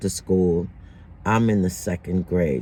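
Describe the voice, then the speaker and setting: The man's voice has a dark, mellow tone. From Jamaica. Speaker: vlogger. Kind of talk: personal storytelling monologue. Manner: casual, conversational.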